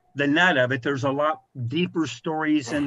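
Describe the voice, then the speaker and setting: Speaking with an American accent, a man keeps a moderate pace. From rural Missouri, US Midwest. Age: 60s. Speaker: video game industry executive. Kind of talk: podcast interview.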